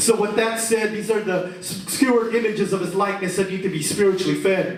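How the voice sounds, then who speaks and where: Against noticeable background noise, a man talks at a fairly quick pace. His voice is high, with monotone, flat intonation. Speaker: spoken word poet. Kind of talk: spoken word poetry performance. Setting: live venue with audience.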